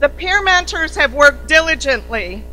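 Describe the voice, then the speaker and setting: Fairly slow speech from a woman, music playing behind. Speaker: CEO of an organization opening a summit. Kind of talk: formal welcome speech. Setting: conference stage with audience. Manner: loud.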